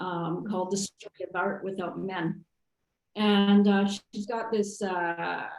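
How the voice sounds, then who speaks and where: A woman with a medium pitch and an unremarkable speaking voice talks at a fairly slow pace. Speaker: artist, printmaker. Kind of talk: artist talk Q&A.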